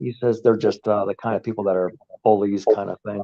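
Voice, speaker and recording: Monotone, flat intonation marks this man's speech at a medium pitch. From Canada. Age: 60s. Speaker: amateur Bigfoot researcher and YouTuber. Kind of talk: casual interview chat. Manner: hesitant, many fillers.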